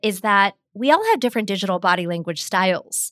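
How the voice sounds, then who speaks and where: A woman talks at a fairly quick pace with ordinary pitch variation. The recording is very clean with a silent background and a dry, close sound with no echo. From US Pittsburgh, Pennsylvania. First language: Hindi. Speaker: communications expert and author. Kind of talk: interview discussion.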